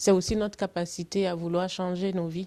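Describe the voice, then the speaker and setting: A woman's fairly low voice with a dark, mellow tone at a moderate pace, over a quiet background. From Burkina Faso. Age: 40s. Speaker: political candidate, electrical engineer. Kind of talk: interview. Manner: hesitant, many fillers.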